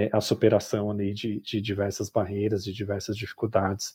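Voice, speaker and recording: A man's somewhat breathy, dark, mellow voice at a fairly low pitch, on a very clean recording with a silent background. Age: 40s. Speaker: design educator and business designer. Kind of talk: interview. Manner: halting.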